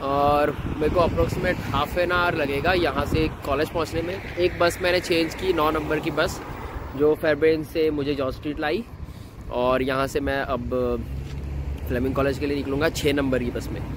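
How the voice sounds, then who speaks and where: A man at a moderate pace with fairly even intonation, in a dry sound with no echo and noticeable background noise. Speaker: student vlogger. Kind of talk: casual vlog chat. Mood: mildly annoyed about bus. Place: street. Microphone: phone near.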